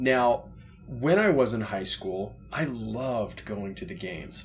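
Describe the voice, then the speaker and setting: A man with a medium pitch and lively intonation sounds somewhat breathy. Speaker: podcast co-host. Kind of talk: casual chat.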